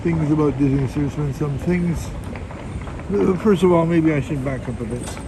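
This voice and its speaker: Amid noticeable background noise and audible room echo, a man with a fairly high pitch speaks at a moderate pace with lively intonation. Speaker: vlogger. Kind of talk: casual live stream chat. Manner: halting.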